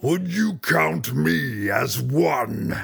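A man puts on a character voice, fairly low in pitch, with very wide pitch swings. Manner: commanding.

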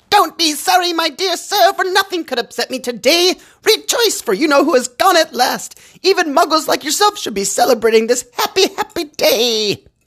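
A squeaky put-on character voice at an extremely high pitch and a moderate pace. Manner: joyful, exuberant.

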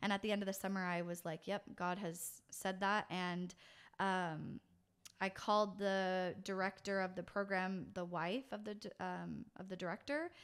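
A woman with an American accent has a plain, everyday voice at a medium pitch and moderate pace. Her intonation is fairly even, and the recording is very clean with a silent background. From California, US. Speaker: pastor. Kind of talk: casual interview chat.

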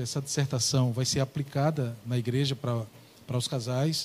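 Dark, mellow tone from a man at medium pitch, somewhat breathy, with fairly even intonation and a moderate pace. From Paraíba, Brazil (Ingá). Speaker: pastor. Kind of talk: religious talk show discussion. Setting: studio.

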